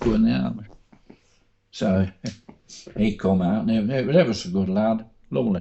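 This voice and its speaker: Speaking with an East Midlands accent, a man uses a fairly low pitch and ordinary pitch variation. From Coalville, Leicestershire, England. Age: 80s+. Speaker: war veteran. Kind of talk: interview answer.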